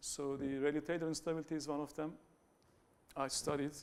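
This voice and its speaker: Speaking with a Turkish accent, the man keeps his intonation fairly even at a fairly quick pace. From Turkey. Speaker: academic researcher. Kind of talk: conference talk. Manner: halting, many fillers and restarts.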